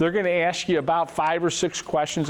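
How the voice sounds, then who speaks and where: A man keeps a fairly quick pace and fairly even intonation, with noticeable background noise behind him. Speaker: financial advisor. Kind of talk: seminar presentation. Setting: room with live audience. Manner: fast.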